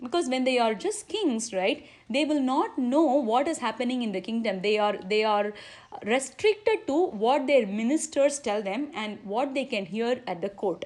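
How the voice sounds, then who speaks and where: A woman speaks at a moderate pace with a high pitch. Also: lively intonation. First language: Tamil. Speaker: religious speaker. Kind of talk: religious discourse. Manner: halting.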